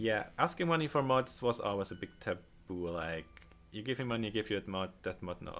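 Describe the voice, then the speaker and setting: A man speaks at a moderate pace with very wide pitch swings while music plays in the background. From Germany. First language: German. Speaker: game modder and livestreamer. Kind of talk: livestream chat while working. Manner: halting.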